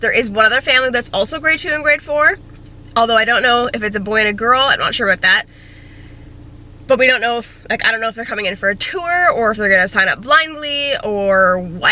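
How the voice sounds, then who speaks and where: There is noticeable background noise as a woman talks at a fairly quick pace. Her voice is fairly high, with ordinary pitch variation. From Canada. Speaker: teacher vlogger. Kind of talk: casual vlog. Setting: classroom.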